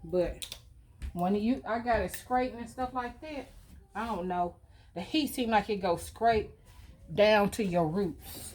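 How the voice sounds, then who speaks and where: A woman's fairly high voice, ordinary pitch variation, long and frequent pauses. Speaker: lifestyle vlogger. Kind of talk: casual get-ready-with-me vlog. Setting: at home.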